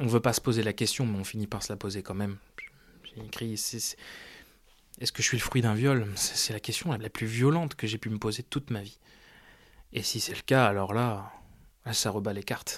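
Speaking at a fairly quick pace yet with long, frequent pauses, a man of medium pitch keeps his intonation fairly even. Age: 20s. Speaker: adoptee searching for birth mother. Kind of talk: personal testimony.

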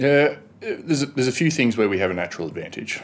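Speaking very fast, a man uses lively intonation. He has an Australian accent. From Australia, Canberra. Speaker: government communications director. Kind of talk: interview. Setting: studio.

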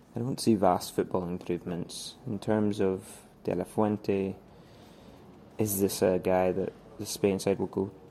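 In a Scottish accent, a man with a dark, mellow tone speaks at a fairly slow pace and fairly low pitch, with fairly even intonation. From Scotland. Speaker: football journalist. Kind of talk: recorded voice note commentary. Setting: voice note recording.

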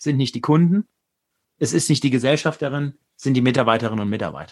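This man's intonation is lively. He talks at a fairly quick pace. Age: 40s. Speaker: business leader and author. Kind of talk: interview.

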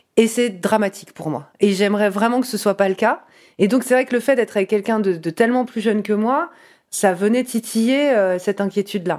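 In a plain, everyday voice, a woman with a fairly high pitch and ordinary pitch variation speaks at a fairly quick pace in a very clean recording with a silent background. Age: 30s. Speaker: interviewee sharing a personal story. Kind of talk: testimony.

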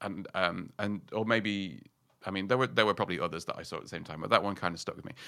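A man speaks very fast in a bright, sharp tone with a Yorkshire accent, his pitch fairly low. His pitch varies in an ordinary way, and the recording is very clean with a silent background. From northern England, Yorkshire mining town. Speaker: writer and podcaster. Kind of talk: casual interview chat.

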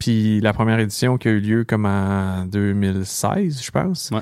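A man speaks in a Quebec accent at a fairly low pitch. His pitch varies in an ordinary way. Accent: Québécois French. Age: 30s. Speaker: podcast entrepreneur and political candidate. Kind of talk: casual chat.

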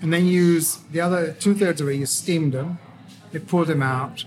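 At a fairly quick pace, a man with an Italian accent speaks in a fairly high pitch with fairly even intonation. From Tuscany, Italy. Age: 40s. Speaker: chef. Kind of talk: casual chat. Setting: indoor cafe with music.

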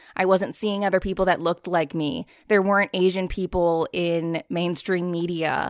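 In a normal speaking voice with an American accent, a woman talks at a moderate pace with fairly even intonation, recorded very cleanly against a silent background with a dry, close sound and no echo. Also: fairly low pitch for a woman. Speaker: audiobook narrator and actor. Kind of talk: casual interview.

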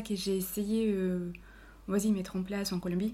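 Somewhat breathy and dark, mellow in tone, a woman speaks fairly slowly at a medium pitch with fairly even intonation. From Colombia, Cali. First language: Spanish (speaking French). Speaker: office worker. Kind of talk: casual chat. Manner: halting.

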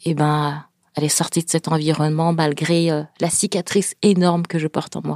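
Dry and close with no echo, a woman speaks at a moderate pace in a fairly low pitch, her intonation flat and monotone. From France, Paris suburbs, Senegalese family. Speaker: author and speaker. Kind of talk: interview.

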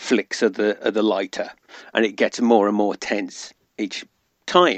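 A man with a British accent, medium in pitch, at a fairly slow pace. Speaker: podcast guest. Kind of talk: casual chat.

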